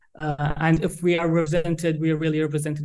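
Fairly high-pitched male voice with an Arabic accent and monotone, flat intonation. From Saudi Arabia. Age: young. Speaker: PhD researcher in public diplomacy. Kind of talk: interview. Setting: remote call. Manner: halting.

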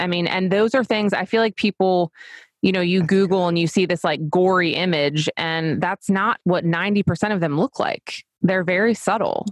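In a dry, close sound with no echo, a woman speaks in an ordinary speaking voice at a medium pitch and a moderate pace, with fairly even intonation. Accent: American. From US Mid-Atlantic, Delaware coast. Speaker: dermatology nurse practitioner. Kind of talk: casual interview chat.

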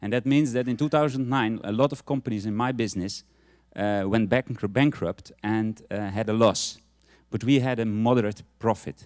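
In a Dutch accent, a man speaks at a moderate pace with ordinary pitch variation. The sound is dry and close with no echo, a very clean recording on a silent background. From Netherlands. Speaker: businessman giving testimony. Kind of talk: testimony. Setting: church. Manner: halting, hesitant.

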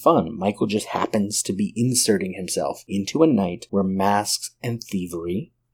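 Pitch variation stays ordinary. The voice reads aloud unforced.

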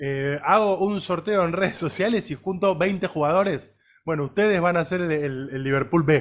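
At a moderate pace, a man with a Rioplatense accent speaks in a high voice with ordinary pitch variation. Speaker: sports podcast co-host. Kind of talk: casual chat.

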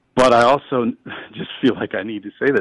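The speaker has an Upper Midwest accent, recorded with a dry, close sound and no echo. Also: man. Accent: Upper Midwest American. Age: 50s. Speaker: author and humorist. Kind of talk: interview. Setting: studio.

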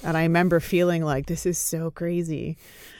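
At a fairly quick pace, a woman with a Canadian accent and very deep, low pitch speaks in a very clean recording with a silent background. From Canada. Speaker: corporate accountability lawyer. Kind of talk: casual chat.

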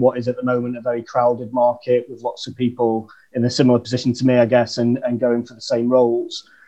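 A man's medium-pitched voice with a northern English accent. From northern England, Chesterfield. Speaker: marketer. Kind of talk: casual chat.

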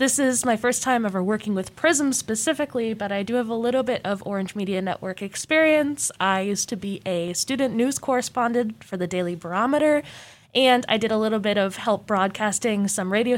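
A plain, everyday voice with an American accent talks at a fairly quick pace with hardly any pauses and ordinary pitch variation, on a very clean recording with a silent background. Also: woman. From Arizona (Mesa). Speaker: student podcast co-host. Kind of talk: casual chat.

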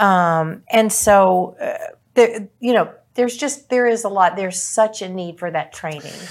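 A woman with a normal speaking voice talks at a fairly slow pace, her medium pitch varying in an ordinary way. Her loudness swings widely, and the recording is very clean with a silent background. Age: 60s. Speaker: senior care podcast co-host. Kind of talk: casual discussion.

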